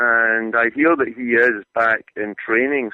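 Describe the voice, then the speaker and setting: The speaker has a Scottish accent and a fairly even intonation. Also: man. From Scotland, Glasgow. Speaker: soccer journalist. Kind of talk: radio interview. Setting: phone call.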